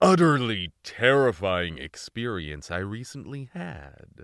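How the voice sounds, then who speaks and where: A man puts on a character voice at a fairly slow pace. The recording is very clean, with a silent background. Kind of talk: parody horror narration. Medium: read story. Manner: pompous, theatrical.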